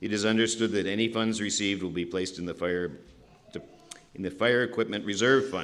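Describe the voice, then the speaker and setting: Fairly quick and fairly low in pitch, a man's voice moves with fairly even intonation. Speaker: town meeting moderator. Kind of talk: reading warrant articles at town meeting. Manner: fast.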